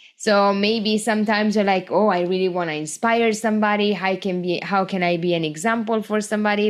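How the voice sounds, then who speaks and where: At a moderate pace, a woman speaks in an Italian accent with fairly even intonation. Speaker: small business owner, podcast host. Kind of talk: casual podcast talk.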